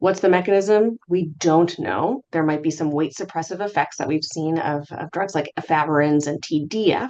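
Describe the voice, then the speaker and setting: Here a woman with a fairly low pitch speaks with ordinary pitch variation. She leaves hardly any pauses. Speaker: physician presenting HIV research update. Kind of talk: medical lecture. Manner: fast.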